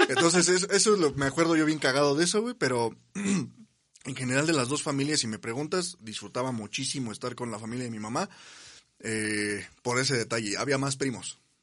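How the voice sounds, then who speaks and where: Over a quiet background, a man with a medium pitch and a normal speaking voice talks at a fairly quick pace with lively intonation. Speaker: podcast co-host. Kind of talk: casual chat.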